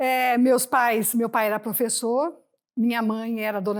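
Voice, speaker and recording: Heard in a very clean recording with a silent background, a woman with an ordinary speaking voice talks at a fairly high pitch with ordinary pitch variation. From Brazil, interior of São Paulo state. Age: 60s. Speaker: retired Olympic volleyball player. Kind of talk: interview.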